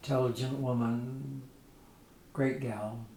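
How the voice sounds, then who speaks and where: A man speaks at medium pitch with fairly even intonation. Noticeable background noise sits behind him. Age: 80s+. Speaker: retired nuclear engineer. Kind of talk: interview answer.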